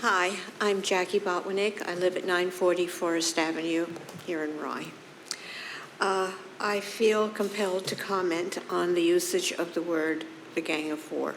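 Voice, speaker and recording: Over noticeable background noise and audible room echo, a woman speaks at a moderate pace in a fairly low, monotone, flat voice. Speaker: resident speaking at council meeting. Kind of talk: public comment. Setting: council meeting. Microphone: too far from mic at first.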